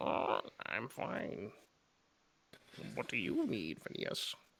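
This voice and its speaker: Speaking at a very slow pace, a man uses a put-on character voice. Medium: actual play. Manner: curt, dismissive.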